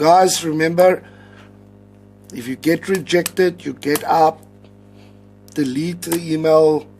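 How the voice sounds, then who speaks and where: The speaker has an Afrikaans accent and a very slow pace with long, frequent pauses. Intonation stays fairly even while loudness shifts in big swings. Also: man, fairly high pitch for a man. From South Africa. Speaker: English teacher giving advice. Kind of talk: casual vlog tutorial. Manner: many fillers, hesitant.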